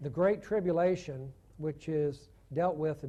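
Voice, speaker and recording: This voice has a dark, mellow tone and fairly even intonation, with a Southern US accent. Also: man. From US South, Chattanooga, Tennessee. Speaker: theologian and guest lecturer. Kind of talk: lecture. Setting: church conference with audience.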